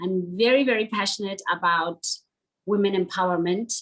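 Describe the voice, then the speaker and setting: At a moderate pace, a woman talks with a Lesotho accent. Her pitch is medium and her intonation fairly even. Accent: Lesotho (Sesotho) English. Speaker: beauty queen and commercial model. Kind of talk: webinar interview.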